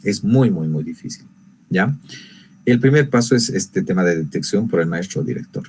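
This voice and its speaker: A man's medium-pitched voice with very wide pitch swings at a moderate pace. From Bolivia, rural Quechua-speaking area. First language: Quechua (speaking Spanish). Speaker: teacher and workshop presenter. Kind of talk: online lecture.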